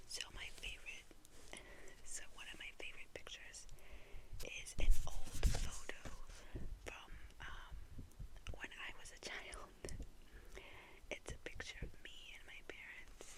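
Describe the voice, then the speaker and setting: Whispering in an American accent, a woman talks fairly slowly with long, frequent pauses and big swings in loudness. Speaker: ASMR creator. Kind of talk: ASMR storytelling to camera, soft whisper. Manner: whispered, soft-spoken.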